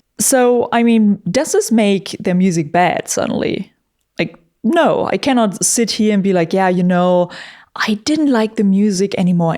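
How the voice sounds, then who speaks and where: Speaking at a fairly slow pace, a woman has a dark, mellow tone, medium pitch and ordinary pitch variation. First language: not English. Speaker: YouTuber and metal musician. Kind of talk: casual commentary monologue. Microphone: studio vocal microphone.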